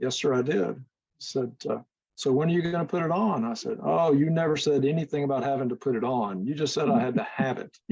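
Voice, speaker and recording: The speech comes at a very fast pace. Its intonation is lively. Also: man, fairly high pitch for a man. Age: 60s. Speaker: classic car owner. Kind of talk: video call Q&A. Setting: video call.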